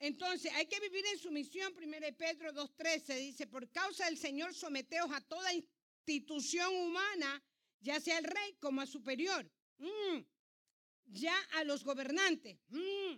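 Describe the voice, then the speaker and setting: Using a raised, projected voice, a woman speaks at an extremely high pitch and a very slow pace, with a bright, sharp tone and ordinary pitch variation. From Ecuador. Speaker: pastor. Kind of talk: sermon.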